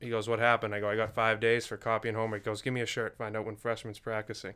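Over a silent background in a very clean recording, a man with a Massachusetts accent speaks very fast at a medium pitch, his tone bright and sharp and his intonation flat and monotone. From Massachusetts, Duxbury. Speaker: church member, guest. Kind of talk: casual interview chat. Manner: halting.

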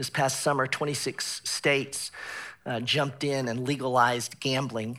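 The speaker is a man with a medium pitch. He talks at a moderate pace in a monotone, flat intonation. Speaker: pastor. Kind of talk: sermon. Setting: church. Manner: halting.

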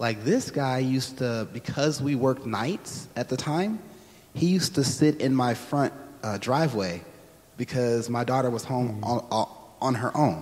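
A man with an American accent, a normal speaking voice, medium pitch, lively intonation and a moderate pace. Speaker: church member sharing experience. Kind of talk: personal testimony interview.

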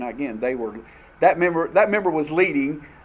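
Using lively intonation, a man with a Southern US accent speaks at a fairly high pitch. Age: 50s. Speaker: church class teacher. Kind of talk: church class teaching with discussion.

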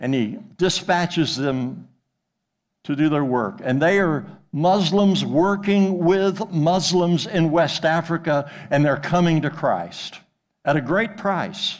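Against audible room echo, a man talks very slowly at a high pitch with ordinary pitch variation. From Arkansas. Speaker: retired pastor. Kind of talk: sermon.

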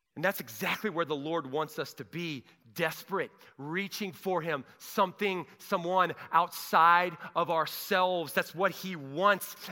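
A man's high, bright, sharp voice, animated and fairly slow, on a very clean recording with a silent background. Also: ordinary pitch variation. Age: 40s. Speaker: pastor. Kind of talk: sermon. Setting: church.

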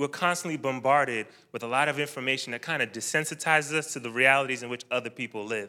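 In a very clean recording with a silent background, a man talks at a fairly quick pace with a fairly high pitch, ordinary pitch variation, and a bright, sharp tone. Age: 30s. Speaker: air force officer and church member. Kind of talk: church talk. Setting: church event with live audience.

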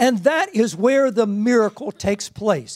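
Lively intonation marks this man's speech at an extremely high pitch. He keeps a moderate pace. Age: 60s. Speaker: missionary minister. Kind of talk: sermon. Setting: church with audience.

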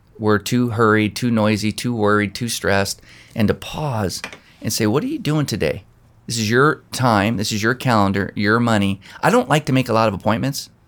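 At a moderate pace and medium pitch, a man talks with fairly even intonation in an ordinary speaking voice, on a very clean recording with a silent background. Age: 50s. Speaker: pastor. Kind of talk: casual chat. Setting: office.

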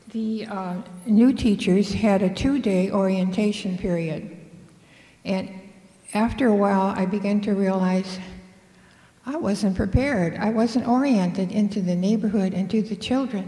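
Audible room echo surrounds a woman speaking at a medium pitch and moderate pace. Her intonation stays fairly even, with long, frequent pauses. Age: 80s+. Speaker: retired teacher, storyteller. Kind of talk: live storytelling.

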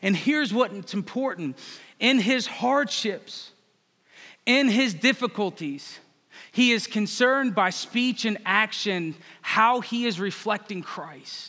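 A man speaks at a very slow pace, with a high pitch, lively intonation and an American accent. His voice is bright, sharp, raised and projected, on a very clean recording with a silent background. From Northern Virginia. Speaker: pastor. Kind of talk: sermon.

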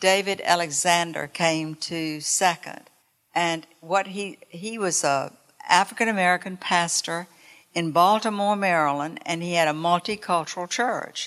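A woman with a Southern US accent, fairly low in pitch, at a fairly slow pace with ordinary pitch variation and a quiet background. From North Carolina. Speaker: church member. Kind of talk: testimony. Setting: church.

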